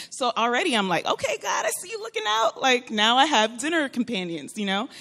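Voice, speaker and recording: A woman's high, animated voice with an American accent, fairly quick, with very wide pitch swings and noticeable background noise. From Florida. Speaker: churchgoer sharing testimony. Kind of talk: testimony.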